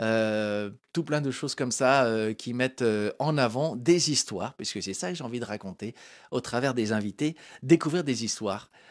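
The voice moves at a moderate pace with ordinary pitch variation over a quiet background. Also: man. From France. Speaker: web show host. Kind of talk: live talk show interview. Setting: studio, live stream. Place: studio. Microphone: handheld.

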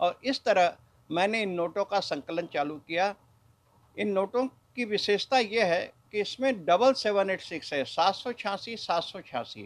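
A high-pitched man's voice at a fairly slow pace with ordinary pitch variation. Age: 60s. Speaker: bullion trader and note collector. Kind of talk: news interview. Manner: formal. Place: shop. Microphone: handheld.

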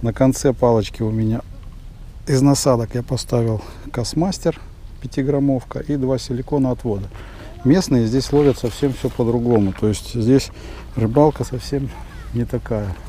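A man talks at a moderate pace with long, frequent pauses and ordinary pitch variation. Light background noise sits under a dry sound with no echo. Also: medium pitch for a man. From Volgograd, Russia; Russia. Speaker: fishing vlogger. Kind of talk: casual vlog narration. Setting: outdoors. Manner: animated. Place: waterside. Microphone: phone near.

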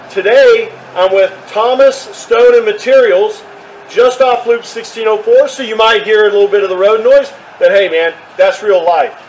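Light background noise sits behind a man speaking high in pitch with a Texan accent. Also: ordinary pitch variation, moderate pace. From Texas. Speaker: realtor video host. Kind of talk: street-seller pitchman patter, upbeat promo spiel. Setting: outdoors. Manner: friendly, folksy. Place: open country. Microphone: camera far.

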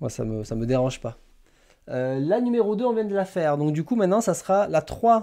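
A man speaks with a high pitch and very wide pitch swings. His tone is dark and mellow. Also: quiet background. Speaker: manga YouTuber hosting a live stream; manga streamer. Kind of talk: casual live stream chat with viewers. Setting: live stream. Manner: hesitant, many fillers and repetitions. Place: home room.

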